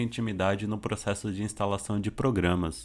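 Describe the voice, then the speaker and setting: A man with an ordinary speaking voice talks at a fairly quick pace and fairly low pitch. The recording is very clean, with a silent background. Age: 30s. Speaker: computer teacher for the visually impaired. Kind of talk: tutorial. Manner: casual.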